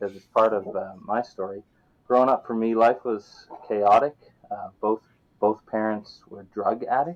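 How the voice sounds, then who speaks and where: A man with a Newfoundland accent, medium in pitch, fairly slow, with ordinary pitch variation and big swings in loudness. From Newfoundland, Canada (St. John's). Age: 30s. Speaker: guest sharing recovery story. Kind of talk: casual interview.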